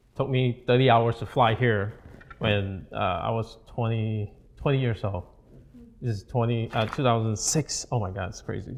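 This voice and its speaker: A man is talking here at medium pitch. Fairly even intonation marks his speech. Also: moderate pace. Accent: Malaysian. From Malaysia. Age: 30s. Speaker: real estate coach. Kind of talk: seminar talk. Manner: casual, halting.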